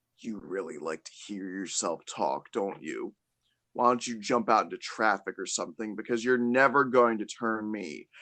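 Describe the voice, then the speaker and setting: Growling in a put-on character voice, the speaker delivers a menacing tone at a moderate pace. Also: man, medium pitch for a man. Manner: menacing, intimidating.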